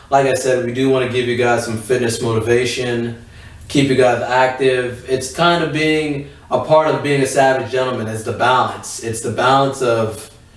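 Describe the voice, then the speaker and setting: Noticeable background noise and audible room echo surround this man's voice. He speaks at a medium pitch with monotone, flat intonation. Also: moderate pace. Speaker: podcast co-host. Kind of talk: casual chat.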